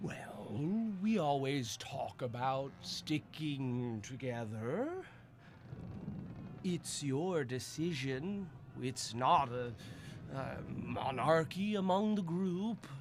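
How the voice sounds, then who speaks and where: Using a put-on character voice, a man talks very slowly with a fairly high pitch, lively intonation, and long, frequent pauses over clear background noise. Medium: actual play. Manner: measured, earnest.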